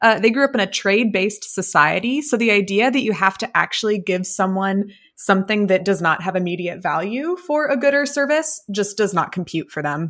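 Speaking at a fairly quick pace, a woman uses lively intonation and hardly any pauses. She has an unremarkable speaking voice at a medium pitch. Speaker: tabletop RPG player. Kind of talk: actual-play tabletop roleplaying game.

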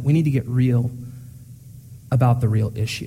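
A man's somewhat breathy voice with a dark, mellow tone and ordinary pitch variation. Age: young. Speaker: pastor. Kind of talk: sermon. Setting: church. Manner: hesitant fillers.

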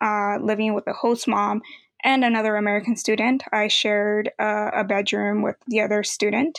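A woman's fairly high-pitched, ordinary speaking voice at a moderate pace, dry and close with no echo. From Mexico, raised in Los Angeles from age eight. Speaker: college graduate, former exchange student. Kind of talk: interview.

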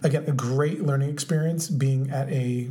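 In an American accent, the speaker goes at a moderate pace with fairly even intonation and audible room echo. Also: man. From Orange County, California. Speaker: podcast co-host. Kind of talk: casual chat.

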